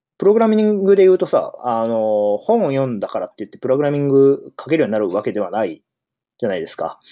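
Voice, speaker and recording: Talking very fast, a man with a fairly high pitch and a dark, mellow tone makes very wide pitch swings and big jumps in loudness. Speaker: podcast host, software engineer. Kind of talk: solo casual monologue. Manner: hesitant, many fillers.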